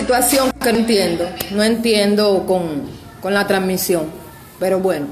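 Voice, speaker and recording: With a Cuban accent, a woman speaks at a moderate pace with ordinary pitch variation over light background noise. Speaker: Cuban woman denouncing her grandmother's death. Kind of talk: social media video rant. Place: home room. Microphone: phone near.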